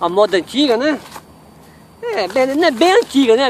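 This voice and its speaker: At a moderate pace, a man speaks with lively intonation. The sound is dry with no echo, over light background noise. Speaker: outdoor cooking vlogger. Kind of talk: casual vlog chat. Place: waterside. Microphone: phone near.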